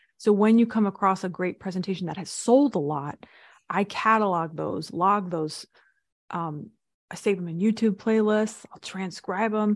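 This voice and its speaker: A woman with an ordinary speaking voice talks at medium pitch with ordinary pitch variation. Her loudness swings widely against a quiet background. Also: moderate pace. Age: 40s. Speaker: speaking coach and business consultant. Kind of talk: interview.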